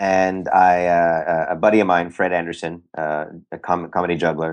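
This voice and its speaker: A man's very deep, low voice with a Californian accent. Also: quiet background. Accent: Californian American. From San Francisco Bay Area. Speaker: magician and actor. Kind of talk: interview. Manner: halting, many repetitions and fillers.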